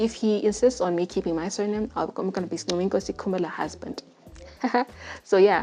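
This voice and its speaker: In a Zimbabwean accent, a woman speaks at medium pitch with fairly even intonation. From Zimbabwe, Bulawayo. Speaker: podcast host. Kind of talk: testimony. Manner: casual, halting.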